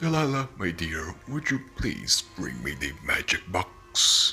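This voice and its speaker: A man speaks in a put-on character voice at a fairly slow pace, with clear background noise behind him. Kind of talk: theatrical showman patter. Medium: audio drama. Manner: grandiloquent, smug, mocking.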